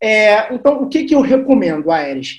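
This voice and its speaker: This man talks at a moderate pace, his pitch swinging very widely. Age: 30s. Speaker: sales consultant. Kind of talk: podcast interview.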